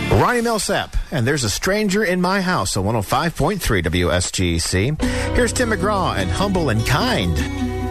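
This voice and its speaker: Clear music plays behind a man who barely pauses. His pitch swings very widely. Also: moderate pace, dry sound with no echo. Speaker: radio announcer and voice-over artist. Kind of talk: country radio station air-check. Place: studio.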